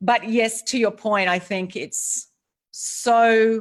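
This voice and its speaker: A woman with an Australian accent speaks with fairly even intonation in a very clean recording with a silent background. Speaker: author and courage speaker. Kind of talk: interview. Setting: live video stream.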